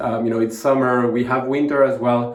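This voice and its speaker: A man with a French accent speaks at a moderate pace in a medium pitch with fairly even intonation, with audible room echo and noticeable background noise. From southern France (Montpellier). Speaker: fragrance reviewer, video creator. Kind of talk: product review monologue. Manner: halting, many fillers.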